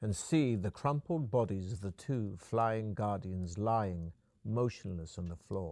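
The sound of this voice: The delivery is an unforced reading voice, its pitch moving in an ordinary way.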